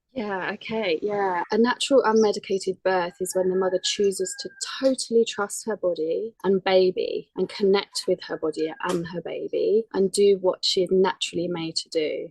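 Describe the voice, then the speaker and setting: A woman speaks with a British accent and fairly even intonation, hardly pausing. The sound is dry and close with no echo. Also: medium pitch for a woman, moderate pace. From UK. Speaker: birth doula and yoga and meditation teacher. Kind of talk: casual interview chat.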